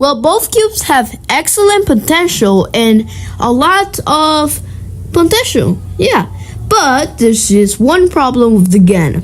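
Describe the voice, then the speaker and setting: A woman's voice at a very slow pace, its loudness very even throughout. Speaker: cubing YouTuber. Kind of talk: tutorial.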